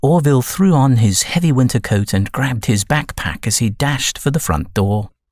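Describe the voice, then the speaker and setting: Lively intonation with a British accent at a moderate pace. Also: man. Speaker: voice actor. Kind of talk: audiobook narration.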